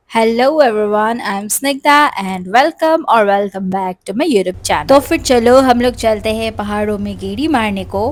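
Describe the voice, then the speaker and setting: A woman speaks in a normal speaking voice at a fairly high pitch with ordinary pitch variation. She keeps a moderate pace with hardly any pauses. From Assam, Northeast India. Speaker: vlogger. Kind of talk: vlog narration. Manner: casual, chatty.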